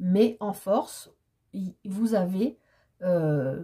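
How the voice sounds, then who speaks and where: Somewhat breathy and dark, mellow in tone, a woman at a medium pitch speaks with very wide pitch swings. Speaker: tarot card reader. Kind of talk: tarot reading monologue. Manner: animated, hesitant with fillers.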